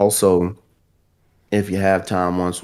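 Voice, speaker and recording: A man with a strong Southern US accent, very deep and low in pitch, at a fairly slow pace. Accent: strong Southern US drawl. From US South. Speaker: guest gaming podcaster and drummer. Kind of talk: casual chat.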